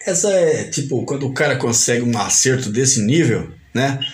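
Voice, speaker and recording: A man speaks at a moderate pace with lively intonation, with audible room echo and noticeable background noise. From Paraíba, northeastern Brazil. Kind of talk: casual interview.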